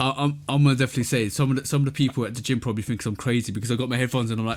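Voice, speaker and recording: With a British accent, a man talks very fast at a medium pitch. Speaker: sneaker podcast co-host and reviewer. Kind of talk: casual chat. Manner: animated; repetitive, stammering.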